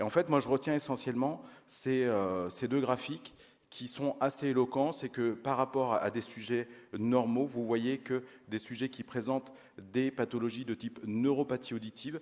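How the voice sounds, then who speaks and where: This man has a medium-pitched voice and a slight Auvergne accent. He keeps a moderate pace and a fairly even intonation. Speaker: audiology researcher. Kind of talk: conference lecture. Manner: hesitant, many fillers.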